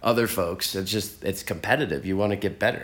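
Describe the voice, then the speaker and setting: A man with an American accent talks at a fairly quick pace in a normal speaking voice, his pitch varying in an ordinary way. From Texas. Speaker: podcast host. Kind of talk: interview. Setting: in person, on location.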